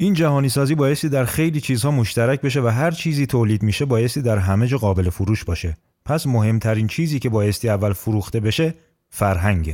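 The voice has a dark, mellow tone and moves at a very fast pace. The recording is very clean with a silent background. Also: man, medium pitch for a man, lively intonation, very even loudness. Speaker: podcast host. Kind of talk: scripted narration.

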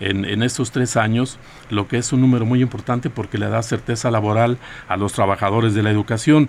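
A medium-pitched man at a fairly quick pace, his intonation fairly even. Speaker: teachers' union leader. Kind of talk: interview. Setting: radio studio. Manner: halting.

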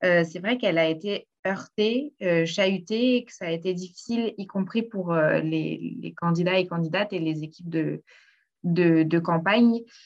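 At a fairly slow pace, an unremarkable speaking voice shows ordinary pitch variation and big swings in loudness. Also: woman, fairly low pitch for a woman. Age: 20s. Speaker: political activist and candidate. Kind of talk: panel discussion.

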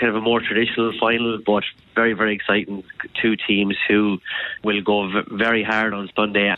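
The moderate-paced speech comes with noticeable background noise. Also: man. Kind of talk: radio interview chat, explaining a sport. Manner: warm, enthusiastic, fairly measured.

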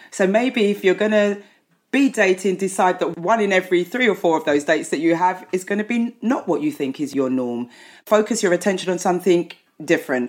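This woman has a plain, everyday voice and a medium pitch. She speaks at a fairly quick pace with lively intonation. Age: 50s. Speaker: psychotherapist. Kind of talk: casual chat. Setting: video call.

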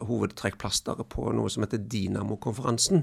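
The recording of this man is very clean, set against a silent background. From western Norway, near Haugesund. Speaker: entrepreneur and investor. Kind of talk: interview. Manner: halting.

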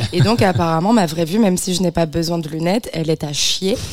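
A woman speaks at a fairly quick pace in a normal speaking voice. Her pitch is fairly low and varies in an ordinary way. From Beaujolais, France. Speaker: comedian. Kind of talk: casual chat. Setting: studio.

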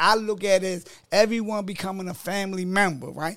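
Speaking with an American accent, a man with a high voice keeps his intonation fairly even. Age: 50s. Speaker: author and life coach. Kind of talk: casual interview chat.

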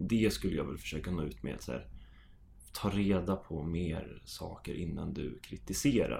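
A man speaks at a very deep, low pitch in a dark, mellow tone with vocal fry. His pitch swings very widely, and there is audible room echo. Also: fairly slow pace. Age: 20s. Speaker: amateur footballer. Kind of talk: casual chat.

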